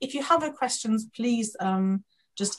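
A woman talks at a moderate pace in a somewhat breathy voice. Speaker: academic conference moderator. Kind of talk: webinar moderation. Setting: video call. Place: home room. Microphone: video call.

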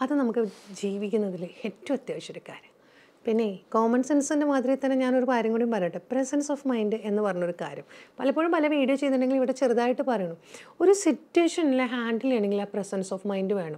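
Lively intonation marks a woman's high-pitched voice with a dark, mellow tone. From Kerala, India. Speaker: motivational speaker. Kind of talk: motivational talk to camera. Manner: conversational, addresses viewers directly. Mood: calm, earnest, reflective. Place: studio.

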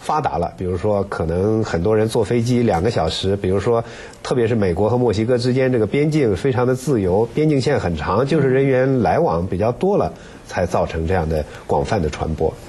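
This man has an unremarkable speaking voice, fairly low in pitch, with lively intonation. He talks at a fairly quick pace and keeps his loudness very even. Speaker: radio health program host. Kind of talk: interview. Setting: studio. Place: studio. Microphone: lapel.

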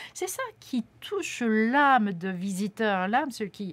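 Speaking at a very slow pace, a woman uses a fairly high pitch with very wide pitch swings. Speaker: interpreter. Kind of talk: live interpretation. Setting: studio. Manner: halting. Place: studio. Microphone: studio mic.

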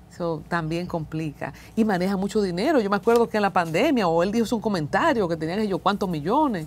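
At a fairly quick pace and with hardly any pauses, a woman with a Dominican accent talks with lively intonation. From Dominican Republic. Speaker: interviewer. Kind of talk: interview. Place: studio. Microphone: lapel.

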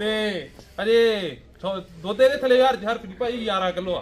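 A high-pitched man at a moderate pace with ordinary pitch variation

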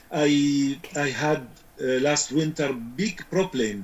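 A man with an Arabic accent and a fairly high pitch. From Syria. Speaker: beekeeping expert; guest. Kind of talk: interview. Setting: video call. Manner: halting. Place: home room. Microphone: video call.

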